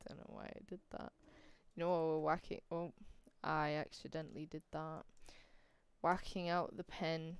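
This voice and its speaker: A woman speaks at a very deep, low pitch with fairly even intonation. Long, frequent pauses and big swings in loudness mark her delivery. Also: moderate pace. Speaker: streamer. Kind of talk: casual chat.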